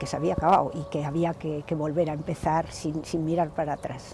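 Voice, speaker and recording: Noticeable background noise runs through the clip. Over it, a woman talks. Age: 70s. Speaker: relative of a victim interviewed. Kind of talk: documentary interview testimony.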